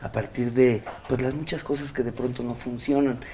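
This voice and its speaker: A Mexican accent with fairly even intonation at a moderate pace. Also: man. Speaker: actor. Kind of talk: casual interview.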